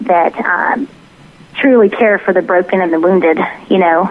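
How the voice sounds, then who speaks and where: Speaking fairly quickly, a woman talks with a Southern US accent and ordinary pitch variation. Background noise is noticeable. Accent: mild Southern. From US South, Tennessee. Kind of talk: interview.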